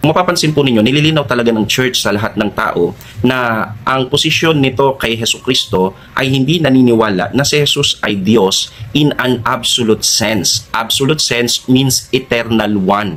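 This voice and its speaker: Over noticeable background noise, a man talks at a moderate pace with hardly any pauses. His medium-pitched voice has ordinary pitch variation and very even loudness. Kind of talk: religious teaching, answering a question. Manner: formal.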